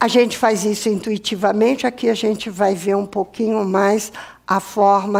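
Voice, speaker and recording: Here a woman speaks in an ordinary speaking voice. Her pace is fairly slow and her intonation fairly even. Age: 60s. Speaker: professor. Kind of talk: lecture.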